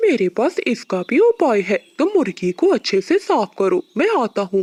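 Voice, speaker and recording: This cartoonish character voice is fairly high in pitch, with very wide pitch swings. It moves at a moderate pace. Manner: boastful, scheming.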